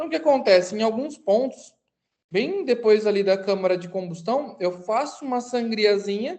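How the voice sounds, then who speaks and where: At a moderate pace, a woman speaks in a fairly high pitch with a dark, mellow tone and lively intonation. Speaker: aviation mechanics instructor. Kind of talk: online lecture. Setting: recorded live online class.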